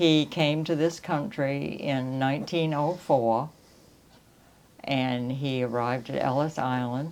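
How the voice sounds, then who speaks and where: Very deep, low female voice at a very slow pace. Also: ordinary pitch variation. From Maine, Round Pond (coastal Lincoln County). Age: 80s+. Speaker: local elder sharing family history. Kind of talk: oral history interview.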